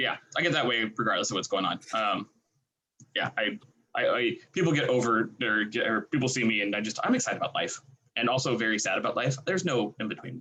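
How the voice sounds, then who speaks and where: Bright and sharp in tone, a man with a medium pitch talks at a very fast pace. His pitch variation is ordinary. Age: 30s. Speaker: podcast host. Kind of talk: casual chat. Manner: animated.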